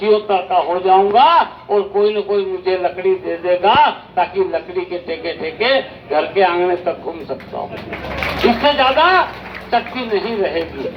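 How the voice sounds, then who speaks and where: Noticeable background noise sits under a man whose pitch swings very widely. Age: 70s. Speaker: independent election candidate. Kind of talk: campaign rally speech. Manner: oratorical, addressing crowd.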